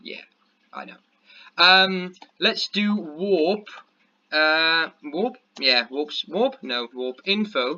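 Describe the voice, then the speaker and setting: A man speaks very slowly in a Danish accent, his pitch high and his intonation lively. He mumbles, with long, frequent pauses and big swings in loudness. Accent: Danish accent, weird pronunciation at times. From Denmark. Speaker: gaming youtuber. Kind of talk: gameplay commentary. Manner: mumbling; halting, many fillers.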